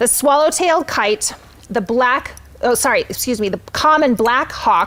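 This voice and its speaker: A loud, high-pitched woman speaks at a moderate pace with lively intonation. Noticeable background noise sits behind her. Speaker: nonprofit executive director. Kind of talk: live event hosting. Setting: virtual gala livestream.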